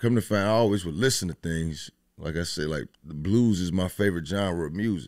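A man with an American accent and a very deep, low pitch speaks at a moderate pace with ordinary pitch variation. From Dayton, Ohio (Westwood). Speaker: chef and rapper. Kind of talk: casual interview. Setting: studio.

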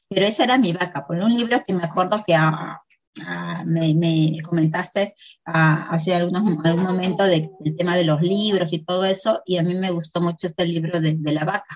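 A woman speaks at a moderate pace with fairly even intonation. Her voice is somewhat breathy and fairly low in pitch. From Peru. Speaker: affiliate marketer. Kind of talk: interview.

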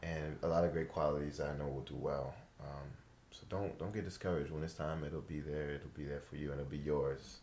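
With vocal fry and a very deep, low pitch, a man talks at a fairly quick pace with fairly even intonation. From New York. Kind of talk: casual chat.

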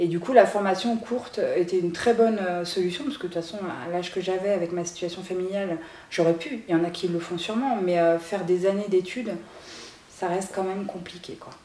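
Noticeable background noise and audible room echo surround a woman talking at a fairly quick pace and a medium pitch. Her intonation is fairly even, but her loudness swings widely. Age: 30s. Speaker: entrepreneur. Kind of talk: interview.

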